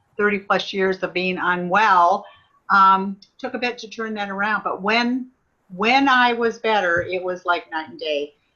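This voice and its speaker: A woman speaks in an ordinary speaking voice at a medium pitch and a fairly slow pace. Her pitch variation is ordinary, with big swings in loudness. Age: 60s. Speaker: former nurse, network marketing consultant. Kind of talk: testimony.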